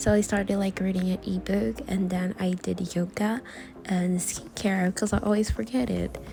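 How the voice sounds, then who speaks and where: A woman with a Brazilian accent speaks at a moderate pace in a medium pitch, her intonation lively, with music playing in the background. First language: Portuguese. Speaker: vlogger, content creator on study and organization. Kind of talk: casual vlog talk to camera. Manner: casual, hesitant with fillers.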